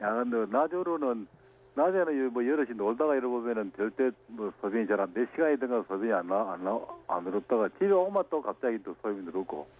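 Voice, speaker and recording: Over noticeable background noise, a man with a medium-pitched voice speaks at a fairly quick pace, making very wide pitch swings. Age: 70s. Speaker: caller. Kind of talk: call-in question. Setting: phone call. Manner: halting.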